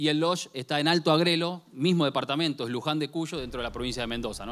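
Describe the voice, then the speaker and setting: With ordinary pitch variation, a man talks very fast. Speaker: conference presenter. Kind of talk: conference talk. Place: hall. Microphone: handheld.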